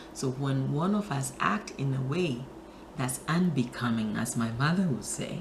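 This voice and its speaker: Over noticeable background noise, a woman with a very deep, low pitch speaks at a fairly slow pace with lively intonation. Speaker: spiritual talk show host. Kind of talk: inspirational talk to camera.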